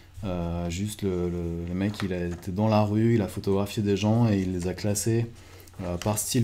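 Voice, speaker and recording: Over noticeable background noise, a man speaks at a fairly slow pace with a fairly low pitch and monotone, flat intonation. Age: 30s. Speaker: photographer and photo mentor. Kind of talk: video talk presenting photo books. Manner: hesitant with many fillers.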